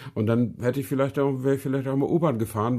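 This man's voice has a dark, mellow tone with vocal fry. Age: 50s. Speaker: car podcast co-host. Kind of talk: casual chat.

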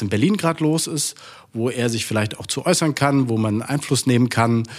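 This man has a plain, everyday voice, speaking at a moderate pace and a medium pitch. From Saxony-Anhalt, Saxon parents. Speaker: politician. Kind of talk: interview.

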